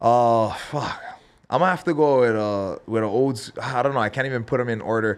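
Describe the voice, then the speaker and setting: This man has a Hawaiian accent. He speaks at a fairly quick pace. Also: medium pitch for a man, ordinary pitch variation. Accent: Hawaiian local English. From Hawaii, Big Island (Hilo). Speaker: professional MMA fighter. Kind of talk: casual chat.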